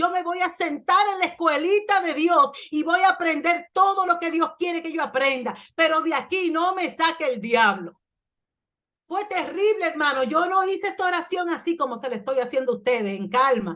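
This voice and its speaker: A woman's extremely high, raised and projected voice in a Caribbean accent, bright and sharp in tone, with lively intonation at a moderate pace. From Dominican Republic. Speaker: pastor. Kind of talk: sermon. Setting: church.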